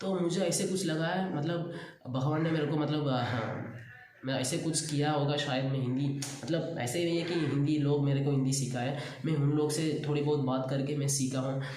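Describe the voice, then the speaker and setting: Fairly high male voice with a Tamil accent, moderate pace, fairly even intonation and very even loudness, plus audible room echo and noticeable background noise. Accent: Tamil-accented Hindi. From Tamil Nadu, India. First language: Tamil (speaking Hindi). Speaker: YouTuber. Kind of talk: casual self-introduction monologue. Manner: halting, frequent fillers.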